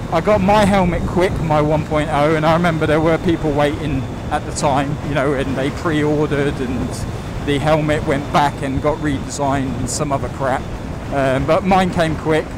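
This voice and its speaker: A man with a fairly high pitch talks at a moderate pace with fairly even intonation, with audible room echo and noticeable background noise around him. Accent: British. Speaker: motorcycle vlogger. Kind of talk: casual vlog commentary while riding. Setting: riding a motorbike outdoors.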